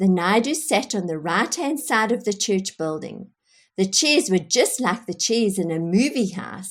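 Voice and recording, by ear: The background is quiet. Someone reads aloud in a natural voice with lively intonation.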